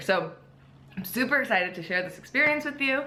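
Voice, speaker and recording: Very wide pitch swings mark a woman's high voice at a very fast pace. Audible room echo and noticeable background noise are present. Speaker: fitness vlogger and bikini competitor. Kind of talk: casual vlog. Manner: casual, many fillers.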